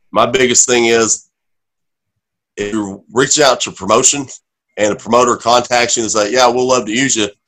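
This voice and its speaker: An unremarkable speaking voice from a man, medium in pitch, at a fairly quick pace with fairly even intonation. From Oklahoma. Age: 30s. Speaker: professional wrestler. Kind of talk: casual chat.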